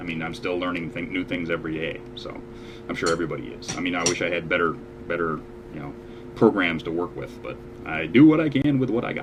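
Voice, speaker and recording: Over audible room echo and noticeable background noise, a man talks at a very fast pace in a very deep, low pitch with very wide pitch swings. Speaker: online show host and amateur singer. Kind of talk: casual chat.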